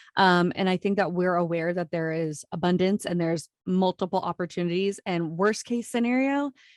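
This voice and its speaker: A woman's medium-pitched voice with a slight Minnesota accent, ordinary pitch variation, moderate pace and hardly any pauses, the sound dry and close with no echo against a quiet background. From US Midwest, Iowa. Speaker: entrepreneur, podcast guest. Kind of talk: casual interview chat. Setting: remote video call.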